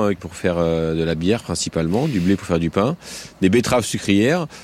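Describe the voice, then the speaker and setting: Using an ordinary speaking voice, a man moves at a fairly quick pace, his intonation lively. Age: 40s. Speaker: farmer. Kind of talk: field interview. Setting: outdoors on a farm.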